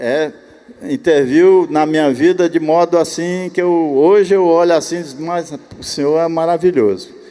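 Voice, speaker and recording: Over noticeable background noise, a man speaks at a moderate pace with a high pitch. His pitch varies in an ordinary way. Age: 80s+. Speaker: church elder. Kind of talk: conference talk conversation.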